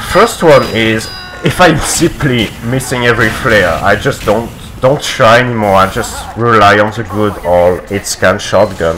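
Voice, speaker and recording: A man speaks fairly slowly with a non-native accent. Noticeable background noise runs underneath. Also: medium pitch for a man, ordinary pitch variation. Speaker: competitive video game player. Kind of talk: gameplay video commentary.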